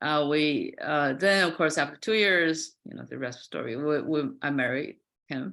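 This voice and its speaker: A woman with a Chinese accent talks at a moderate pace, her pitch very deep and low with ordinary variation. Her loudness swings widely, on a very clean recording with a silent background. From China, Qingdao. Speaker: fiber artist. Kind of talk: artist talk presentation. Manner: halting.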